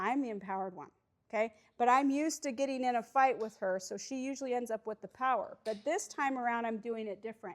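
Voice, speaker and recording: A woman speaks loudly and at a fairly quick pace in an animated tone, her voice high with ordinary pitch variation, in a very clean recording with a silent background. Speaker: recovery coach. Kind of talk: workshop talk.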